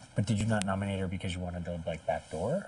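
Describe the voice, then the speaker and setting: Talking very fast, a man has a dark, mellow, somewhat breathy voice at a fairly low pitch. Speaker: reality TV contestant. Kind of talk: casual strategy conversation.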